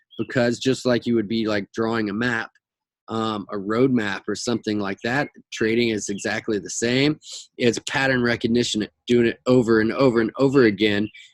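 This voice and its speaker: A man talks in a plain, everyday voice at a medium pitch and moderate pace. His intonation is fairly even, and the sound is dry and close with no echo. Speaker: forex trading educator. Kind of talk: market analysis tutorial. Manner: casual with many fillers.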